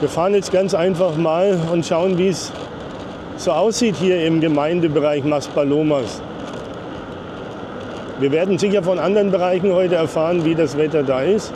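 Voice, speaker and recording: Over noticeable background noise, a man talks at a moderate pace with fairly even intonation and very even loudness, leaving long, frequent pauses. The sound is dry, with no echo. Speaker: travel vlogger driving. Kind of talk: casual vlog commentary. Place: street.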